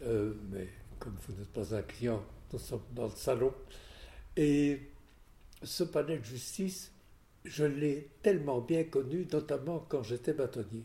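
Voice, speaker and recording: A man's dark, mellow, somewhat breathy voice with lively intonation, at a very slow pace with long, frequent pauses. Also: medium pitch for a man. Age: 80s+. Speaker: lawyer. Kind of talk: interview. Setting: at home.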